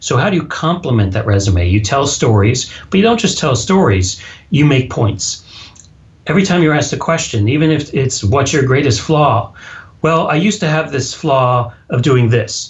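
Somewhat breathy and at a moderate pace, this man talks with a fairly high pitch, very wide pitch swings and very even loudness. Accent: American. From US Texas. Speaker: public speaking coach and author. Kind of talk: casual interview. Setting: phone or Skype call.

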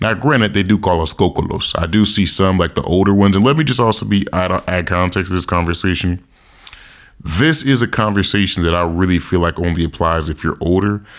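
Talking at a fairly quick pace, a man has a very deep, low pitch and an animated tone. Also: ordinary pitch variation. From United States. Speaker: podcast host. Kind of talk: casual monologue.

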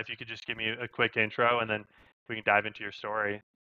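A man talks at a very fast pace with a western US accent. His intonation stays monotone and flat. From Idaho. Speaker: podcast host. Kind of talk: casual interview; scripted intro and outro. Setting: call.

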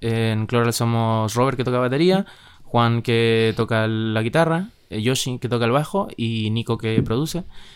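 A man with an unremarkable speaking voice talks at a fairly slow pace. His pitch is medium, with ordinary variation. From Chile, Santiago. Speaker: musician, band member. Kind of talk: casual interview chat.

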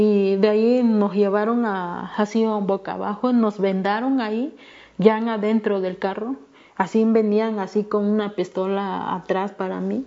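Her intonation stays flat and monotone. The woman talks at a fairly slow tempo. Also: medium pitch for a woman. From Mexico, Guerrero (Ayutla de los Libres). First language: Me'phaa (Tlapanec) (speaking Spanish). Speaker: human rights activist. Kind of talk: testimony.

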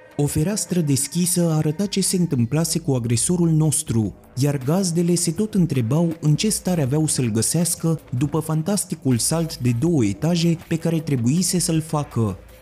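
Music plays behind a man with a fairly high voice and an intense, dramatic tone. He keeps a moderate pace with ordinary pitch variation. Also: hardly any pauses, very even loudness. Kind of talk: audiobook reading of a horror story. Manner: dramatic, suspenseful, measured narration; grave, intense, darkly atmospheric.

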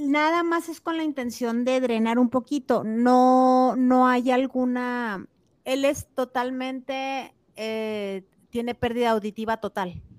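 A woman speaks at a very slow pace with a high pitch. The sound is dry and close with no echo, and the recording is very clean with a silent background. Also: ordinary pitch variation. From Mexico, Chihuahua. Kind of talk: casual chat.

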